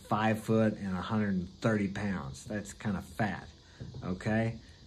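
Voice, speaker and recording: Over audible room echo, a man with an American accent speaks at a moderate pace. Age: 60s. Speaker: vlogger. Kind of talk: casual monologue.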